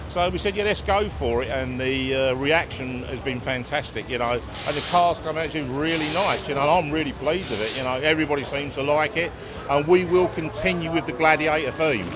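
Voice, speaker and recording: A man speaks at a fairly quick pace in a fairly high pitch, with hardly any pauses and ordinary pitch variation. Noticeable background noise and audible room echo surround him. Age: 60s. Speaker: funny car team owner. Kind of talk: interview.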